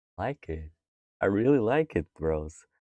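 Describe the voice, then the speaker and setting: Quiet and very slow, a man speaks in a very deep, low voice with a dark, mellow tone. The sound is dry and close with no echo, on a very clean recording with a silent background. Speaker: craft livestreamer. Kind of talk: casual livestream chat while painting. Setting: live stream. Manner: quiet, focused.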